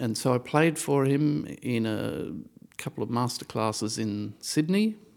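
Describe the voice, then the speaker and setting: Medium-pitched male voice with lively intonation and an Australian accent. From Australia, Brisbane. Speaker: composer and violist. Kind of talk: interview. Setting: studio.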